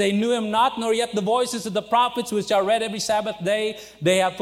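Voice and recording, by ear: Here someone is reading aloud in a natural voice with fairly even intonation.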